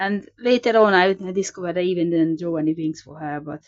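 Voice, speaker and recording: A woman speaks with a non-native accent. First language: not English. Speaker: sketchbook artist, video creator. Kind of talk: casual show-and-tell narration. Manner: hesitant, with fillers and repetitions.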